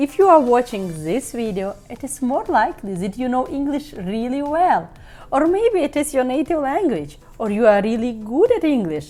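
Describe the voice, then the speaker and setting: Her voice is high-pitched, with a Ukrainian accent, a dark, mellow tone and very wide pitch swings. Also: moderate pace. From Ukraine. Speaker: business tips youtuber. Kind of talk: online tutorial.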